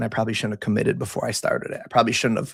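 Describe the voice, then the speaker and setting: Male voice with vocal fry on a very clean recording with a silent background. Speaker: sports betting tipster. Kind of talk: livestream sports picks. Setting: livestream. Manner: casual, rambling.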